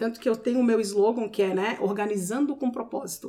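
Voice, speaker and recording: This woman's voice has a somewhat breathy quality. She keeps a fairly quick pace. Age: 40s. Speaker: personal organizer. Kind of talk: casual chat.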